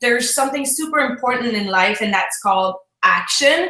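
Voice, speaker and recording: In a French Canadian accent, a woman speaks at a high pitch and moderate pace, her tone bright and sharp, with ordinary pitch variation and audible room echo. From Quebec, Canada. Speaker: fitness business coach. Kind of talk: online talk with tips.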